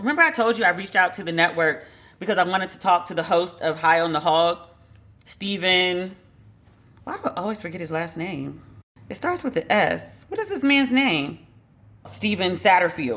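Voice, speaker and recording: A woman talks in an animated tone at medium pitch, with lively intonation and big swings in loudness. Long, frequent pauses break up her speech over noticeable background noise. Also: moderate pace. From United States. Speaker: podcast host. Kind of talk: casual commentary podcast.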